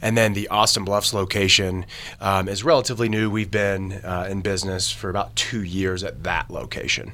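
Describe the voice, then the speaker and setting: A man with a fairly low pitch and fairly even intonation speaks at a moderate pace against noticeable background noise. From Kentucky. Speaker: auto shop brand manager. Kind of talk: podcast interview.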